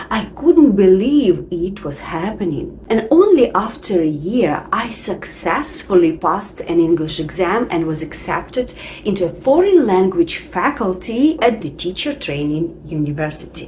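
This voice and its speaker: With a non-native accent, a woman speaks at a fairly slow pace, with hardly any pauses and very wide pitch swings. Noticeable background noise can be heard. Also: medium pitch for a woman. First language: not English. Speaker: English teacher. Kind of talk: tutorial.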